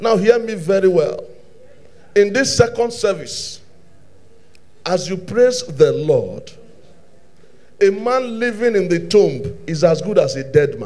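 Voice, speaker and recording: The man's intonation is lively at a fairly slow pace. He leaves long, frequent pauses. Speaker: preacher. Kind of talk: sermon. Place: church. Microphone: handheld.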